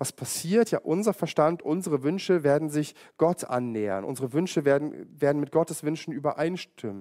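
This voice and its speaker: A man's fairly high-pitched voice with lively intonation and a dark, mellow tone, in a dry, close sound with no echo. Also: moderate pace. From East Germany. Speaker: pastor. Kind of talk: sermon.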